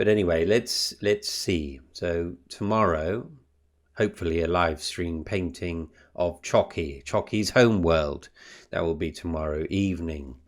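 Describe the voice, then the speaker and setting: A man with a British accent speaks at a fairly slow pace in a very deep, low pitch. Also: ordinary pitch variation. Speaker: booktuber and painter. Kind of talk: casual vlog chat.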